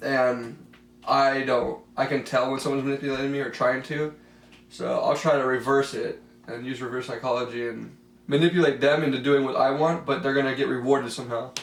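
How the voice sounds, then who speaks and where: A man with a fairly high pitch at a fairly quick pace, monotone and flat in intonation, with audible room echo. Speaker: special education aide. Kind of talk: mock counseling interview.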